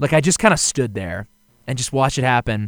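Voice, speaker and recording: Using a normal speaking voice, a man talks at a medium pitch with lively intonation. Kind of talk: casual sports banter.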